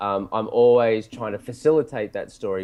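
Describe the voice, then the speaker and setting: A man speaks with an Australian accent. His medium-pitched voice has a dark, mellow tone. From Australia, Sydney. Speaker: film director and writer. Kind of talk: casual interview.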